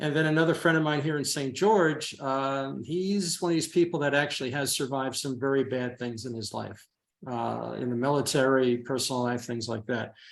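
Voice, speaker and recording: The clip has a plain, everyday voice going at a moderate pace. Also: man, medium pitch for a man, ordinary pitch variation. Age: 60s. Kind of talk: casual interview answer.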